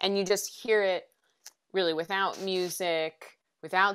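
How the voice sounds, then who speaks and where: The recording is very clean, and the background is silent. The voice carries an American accent. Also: woman. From rural US. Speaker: podcast reporter. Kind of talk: interview on podcasting craft. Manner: many fillers and restarts.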